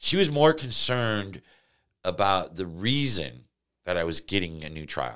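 In a Midwestern American accent, a man speaks at a fairly slow pace with very wide pitch swings. The recording is very clean with a silent background. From Missouri, St. Louis area. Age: 50s. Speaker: wrongfully convicted former prisoner. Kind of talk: interview.

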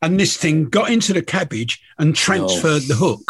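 A man with a southern English accent talks at a fairly quick pace. His pitch is fairly high, with vocal fry. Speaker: podcast host, angler and fishing TV presenter. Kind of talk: casual chat. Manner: stammering repeats.

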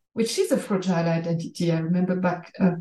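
A woman speaks at a fast pace. Her tone is dark and mellow, her intonation fairly even. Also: fairly low pitch for a woman.

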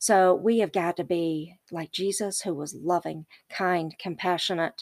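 In a Southern US accent, a woman with a medium pitch talks in a fairly even intonation, the sound dry and close with no echo. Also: very clean recording, silent background. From US South. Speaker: podcast guest, host's mother. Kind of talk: casual chat. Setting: recording in a closet.

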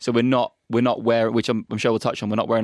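On a very clean recording with a silent background and a dry, close sound with no echo, a man of medium pitch speaks in a monotone, flat way with a southern English accent. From Norwich, England. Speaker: football YouTuber and shirt collector. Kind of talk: casual chat.

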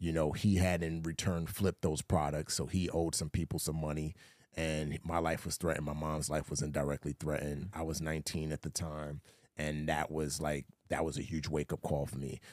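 A man with an American accent and a very deep, low pitch talks fairly quickly in a flat monotone, with a dry, close sound and no echo. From US, the Bronx, New York. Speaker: former Navy SEAL, actor and author. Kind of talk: interview.

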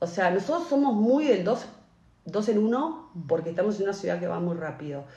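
A woman talks at a fairly quick pace and a medium pitch, her voice swinging very widely up and down, with audible echo from the room. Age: 40s. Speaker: podcast co-host. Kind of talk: casual chat.

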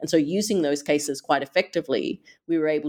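Speech comes at a fairly quick pace. An Australian accent is heard. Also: woman. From Australia, Perth. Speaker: human rights advocate, author. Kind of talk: interview.

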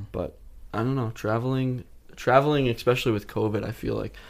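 A man talks at a very fast pace in an American accent. The recording is very clean, with a silent background. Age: young. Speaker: YouTuber. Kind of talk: casual chat.

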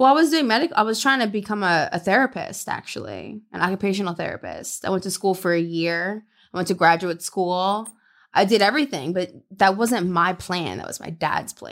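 A woman with an American accent and an unremarkable speaking voice talks fairly quickly at a medium pitch, with lively intonation and big swings in loudness. The recording is very clean, with a silent background. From US South, Louisiana. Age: 30s. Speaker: adult film performer. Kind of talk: casual chat.

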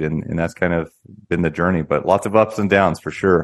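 Very deep and low, a man's voice moves at a very fast pace. His intonation stays fairly even against a quiet background. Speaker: real estate company founder. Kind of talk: interview answers, business explanation.

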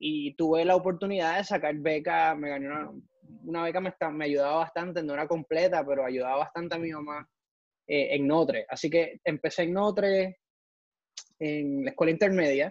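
Using an unremarkable speaking voice, a man talks at a moderate pace with a fairly high pitch and fairly even intonation. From Ecuador, raised partly in Puerto Rico. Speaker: NASA engineer. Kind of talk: interview.

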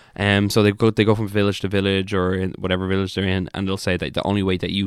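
A man's very deep, low voice, very fast and monotone with flat intonation, on a very clean recording with a silent background. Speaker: comedian podcast co-host. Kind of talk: casual comedic banter podcast. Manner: joking, banter, profane.

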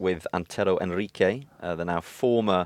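Recorded with a dry, close sound with no echo against a quiet background, a man with a plain, everyday voice talks at a moderate pace with ordinary pitch variation. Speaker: football journalist.

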